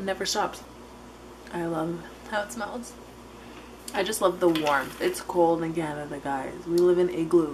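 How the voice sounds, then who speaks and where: Noticeable background noise surrounds a woman's voice. She speaks at a fairly slow pace with ordinary pitch variation. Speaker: vlogger. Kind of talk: casual vlog chat. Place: kitchen. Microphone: phone near.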